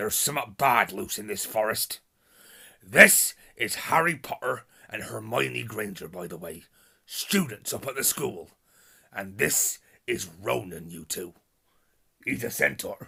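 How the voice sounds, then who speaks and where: In a put-on character voice with a West Country accent, a man sounds raspy and gruff at a medium pitch, swinging very widely in pitch and leaving long, frequent pauses. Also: fairly slow pace. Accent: rural West Country dialect. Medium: read story. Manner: gruff, plain-spoken.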